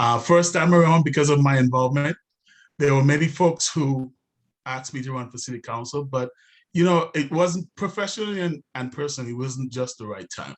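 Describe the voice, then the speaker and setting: A man with a non-native accent talks at a fairly quick pace in a fairly high pitch, his pitch varying in an ordinary way while his loudness swings widely. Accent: noticeable foreign. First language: not English. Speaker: city council candidate. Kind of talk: candidate forum speech. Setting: online webinar. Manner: hesitant, many fillers.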